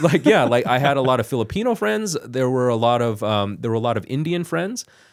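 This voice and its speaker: Speaking at a fairly quick pace with a Canadian accent, this is an ordinary speaking voice. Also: man, medium pitch for a man. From Richmond, British Columbia, Canada. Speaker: broadcast journalist. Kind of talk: interview answer. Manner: casual, conversational.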